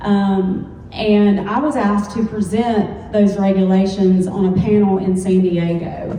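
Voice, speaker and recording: In a Southern accent, a woman speaks very slowly at medium pitch, with audible room echo and noticeable background noise. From US South, Alabama. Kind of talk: panel discussion.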